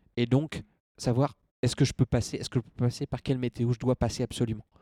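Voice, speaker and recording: Flat and monotone, a man talks fairly quickly at a medium pitch in a dark, mellow tone, captured dry and close with no echo. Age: 20s. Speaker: accountant and endurance adventurer. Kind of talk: interview testimony.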